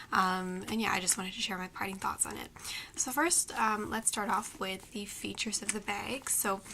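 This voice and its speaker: Noticeable background noise sits behind a soft-spoken woman whispering at a moderate pace. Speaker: beauty and fashion vlogger. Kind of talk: product review. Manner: whispering, soft; hesitant, many fillers.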